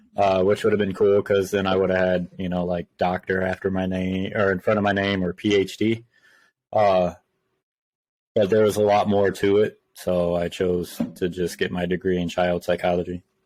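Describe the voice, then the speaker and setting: Over a quiet background, a man with a very deep, low voice speaks at a moderate pace in a monotone, flat way. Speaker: army veteran, new co-host. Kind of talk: casual chat. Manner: loud.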